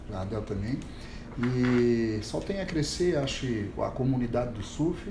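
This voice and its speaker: In a room with audible echo, a man of medium pitch speaks at a fairly slow pace with ordinary pitch variation. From Santa Catarina, Brazil (Itajaí). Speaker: surf teacher running a social surf project. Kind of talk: casual chat.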